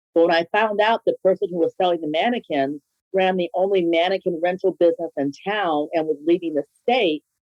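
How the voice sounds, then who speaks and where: With ordinary pitch variation and a fairly quick pace, a woman speaks in an unremarkable speaking voice at fairly low pitch, the sound dry and close with no echo. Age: 60s. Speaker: small business founder. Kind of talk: podcast interview.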